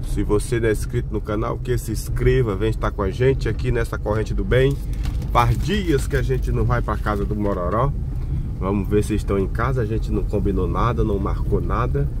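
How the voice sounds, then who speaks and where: With lively intonation and a very deep, low pitch, a man speaks at a moderate pace in a dry sound with no echo, though background noise is noticeable. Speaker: vlogger filming from passenger seat. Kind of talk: casual vlog chat. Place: car.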